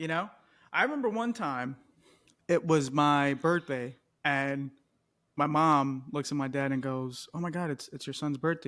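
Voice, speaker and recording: On a very clean recording with a silent background, a man speaks at a moderate pace with a fairly high pitch, a bright, sharp tone and ordinary pitch variation. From Colombia, raised in US from age three. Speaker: podcast co-host. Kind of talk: casual chat.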